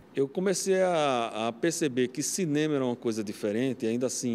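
A man with a medium-pitched voice uses lively intonation while talking at a moderate pace. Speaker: film professor; university professor. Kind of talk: interview. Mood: nostalgic, enthusiastic. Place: studio. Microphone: handheld.

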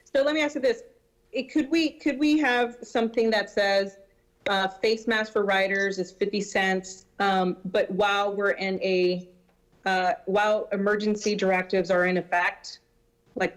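A woman talks at a medium pitch with very even loudness and ordinary pitch variation. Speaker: city council representative. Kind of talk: public meeting discussion. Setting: video conference. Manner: fast.

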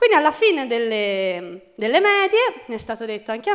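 A woman speaks at a fairly quick pace with a fairly high pitch. She has an ordinary speaking voice against a quiet background. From Florence, Italy; Tuscany, Italy. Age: 20s. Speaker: university law student with dyslexia; conference speaker. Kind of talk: testimony. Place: hall. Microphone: podium.

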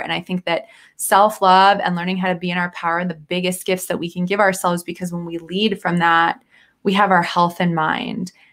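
A woman's fairly quick delivery, fairly low in pitch and fairly bright in tone, with little pitch movement

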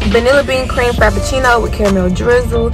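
A woman speaks at a fairly quick pace with an American accent. Clear music plays in the background, and the sound is dry with no echo. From South Carolina. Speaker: college student. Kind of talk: casual mukbang talk to camera. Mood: relaxed, chatty storytelling. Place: car. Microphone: phone near.

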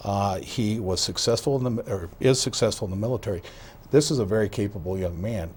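A somewhat breathy man's voice, fairly low in pitch, with an American accent and a fairly quick pace. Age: 60s. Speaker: outgoing county sheriff. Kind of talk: TV interview. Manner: halting, many fillers and repetitions.

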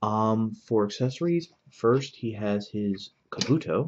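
A man speaks in an ordinary speaking voice. His pitch is fairly low, with ordinary pitch variation. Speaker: toy reviewer. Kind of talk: casual review commentary. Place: home room.

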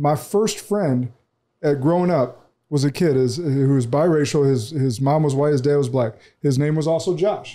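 Speaking with an American accent, a man uses a fairly high pitch with ordinary pitch variation, a moderate pace, a dark, mellow tone and very even loudness. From Peoria, Illinois; Illinois. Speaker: podcast host. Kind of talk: casual conversational interview. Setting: studio. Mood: reflective, calm. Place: studio. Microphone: studio mic.

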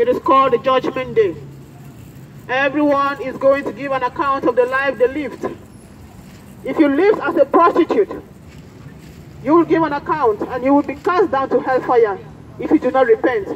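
A woman speaks at a moderate pace with a high pitch. She pauses long and often over light background noise. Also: ordinary pitch variation. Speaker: street preacher. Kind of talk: sermon. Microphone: handheld.

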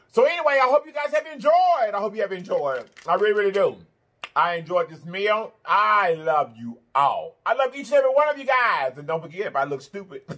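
In a raised, projected voice with a bright, sharp tone, a man talks fairly quickly, his pitch swinging very widely and his loudness in big swings. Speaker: food vlogger. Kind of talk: casual vlog chat.

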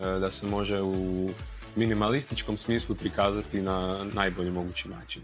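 A man talks while clear music plays behind him. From Croatia. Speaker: singer and music producer. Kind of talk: interview answer. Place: home room. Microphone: lapel.

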